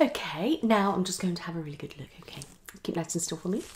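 The pitch moves in an ordinary way. The pace is fast. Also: woman, fairly low pitch for a woman.

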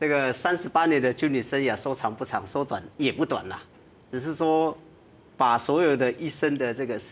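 Man's voice, fairly high pitched, with ordinary pitch variation and a moderate pace. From Taiwan. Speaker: retired army general. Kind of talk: TV panel interview; interview answer. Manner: frequent fillers and particles. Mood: calm, reflective, advising. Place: studio.

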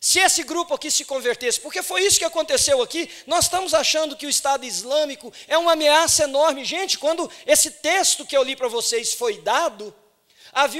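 An extremely high-pitched man's voice, animated in tone, against a quiet background. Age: 40s. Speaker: pastor. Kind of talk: sermon. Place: church. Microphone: handheld.

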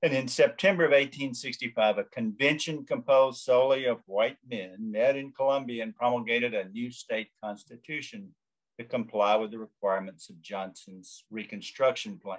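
With a Southern US accent, a man speaks at a moderate pace with hardly any pauses, ordinary pitch variation and big swings in loudness against a quiet background. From US South. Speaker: law professor. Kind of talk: lecture. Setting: video call. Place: home room. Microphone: webcam.

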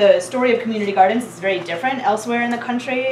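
Over light background noise and audible room echo, a woman talks with ordinary pitch variation. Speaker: presenter. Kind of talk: lecture. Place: classroom. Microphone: camera far.

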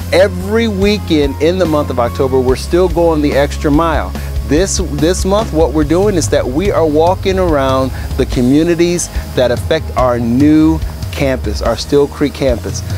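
Against clear music in the background, a man with a very deep, low pitch speaks in a dry sound with no echo. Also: moderate pace. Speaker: church announcer. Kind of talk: announcements to camera. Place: garden.

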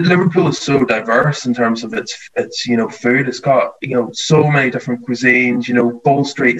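A man with a Northern Irish accent, medium pitch, fairly even intonation and a fairly quick pace. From rural Northern Ireland. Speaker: TV baking contestant; interviewee. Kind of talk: casual interview chat. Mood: cheerful, relaxed. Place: home room. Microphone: video call.

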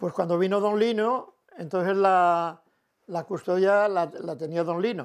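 A man speaks in a high voice at a fairly slow pace, with ordinary pitch variation. The background is quiet. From Cantabria, Spain (Bielva); Cantabria. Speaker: elderly villager telling his life story; interviewee. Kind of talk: oral history interview. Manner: halting, with frequent repetitions. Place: home room. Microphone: lapel.

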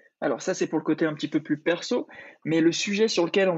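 Ordinary pitch variation marks a man speaking at a high pitch. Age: 30s. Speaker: podcast host, corporate content manager. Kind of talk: interview.

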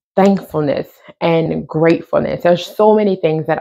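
With an unremarkable speaking voice, a woman talks at a fairly low pitch with fairly even intonation against a quiet background. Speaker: thrift haul vlogger. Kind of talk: casual vlog chat. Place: home room. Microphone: lapel.

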